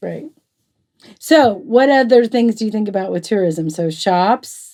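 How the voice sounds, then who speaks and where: A woman speaks at a fairly slow pace with a fairly high pitch. Her tone is dark and mellow, and her intonation is lively. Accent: Southern US. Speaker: quilting talk show co-host. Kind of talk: casual chat.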